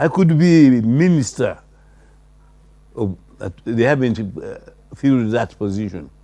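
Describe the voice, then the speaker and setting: Against noticeable background noise, a man talks at medium pitch and a fairly slow pace, with long, frequent pauses. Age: 80s+. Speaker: retired judge and law professor. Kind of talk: interview. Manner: halting.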